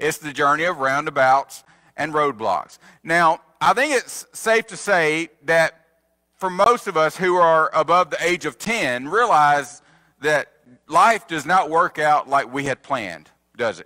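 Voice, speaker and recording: Big swings in loudness mark a man's bright, sharp tone as he speaks at a fairly slow pace over a quiet background. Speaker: preacher. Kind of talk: sermon. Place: church.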